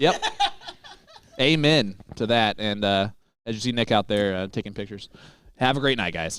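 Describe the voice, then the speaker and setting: At a moderate pace and in an animated tone, a man with a slight Midwestern US accent speaks in a fairly low pitch with ordinary pitch variation and long, frequent pauses. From Indianapolis, US Midwest. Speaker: darts commentator. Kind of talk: live commentary.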